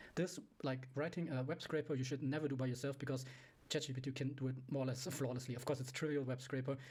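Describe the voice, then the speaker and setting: At a very fast pace, a man talks in a medium pitch, somewhat breathy, his intonation monotone and flat. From Europe. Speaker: programmer / tech YouTuber. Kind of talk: screen-share tutorial demo. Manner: halting, many fillers.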